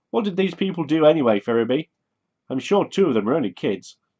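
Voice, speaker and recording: A man puts on a whiny, rumbling character voice pitched fairly high. He talks very fast, with very wide swings in pitch. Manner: grumbling, complaining.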